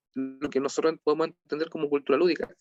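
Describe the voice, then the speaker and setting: A man speaks with a Chilean accent and fairly high pitch. The sound is dry and close, with no echo. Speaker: lecturer on game sociology. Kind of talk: online lecture. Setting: video call. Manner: halting, many repetitions.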